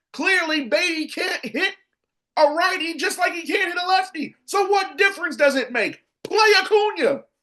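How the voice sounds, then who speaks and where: Shouting in a raised, projected voice, a man speaks at a moderate pace with an extremely high pitch, a bright, sharp tone and ordinary pitch variation. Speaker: sports podcast host. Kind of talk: opinionated sports commentary. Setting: home studio. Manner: animated; loud, yelling.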